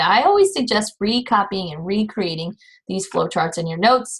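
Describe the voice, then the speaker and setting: Speech runs at a fairly quick pace. There is a somewhat breathy quality to the voice. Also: woman, very clean recording, silent background. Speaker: college anatomy and physiology instructor. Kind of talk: recorded lecture. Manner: fast.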